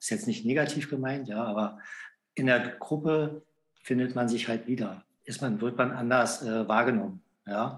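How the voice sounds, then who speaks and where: A man speaks at a moderate pace with ordinary pitch variation. Long pauses come often. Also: medium pitch for a man. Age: 50s. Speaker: self-help group leader and patient. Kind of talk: casual interview. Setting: remote call. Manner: halting, many fillers.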